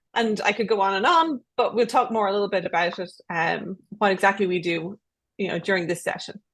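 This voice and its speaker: With an Irish accent, a woman talks at a fairly quick pace in a medium pitch, her pitch varying in an ordinary way. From Ireland. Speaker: research development professional. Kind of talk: panel discussion.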